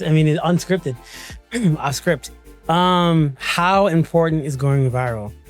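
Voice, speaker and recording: A man talks with a fairly high pitch. Music plays in the background. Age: 20s. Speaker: creative, content creator. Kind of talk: podcast interview answer. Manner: casual, conversational.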